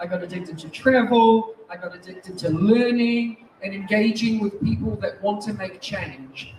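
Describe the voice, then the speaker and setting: Noticeable background noise sits behind an animated voice with a strong New Zealand accent. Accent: thick New Zealand. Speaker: teacher and education technology speaker. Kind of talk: conference keynote talk. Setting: stage with audience. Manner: fast.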